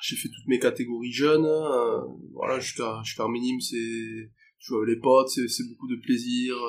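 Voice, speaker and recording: The man keeps a fairly slow pace. His voice sits at a medium pitch. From Pau, Béarn, southwest France. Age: 20s. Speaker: professional rugby player. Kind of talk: interview. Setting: restaurant near the stadium. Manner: halting, many repetitions and fillers.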